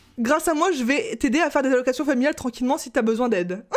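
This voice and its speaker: A woman's high, shrill voice with ordinary pitch variation. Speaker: YouTuber, gamer. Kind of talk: reading and reacting to comments. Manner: casual, animated.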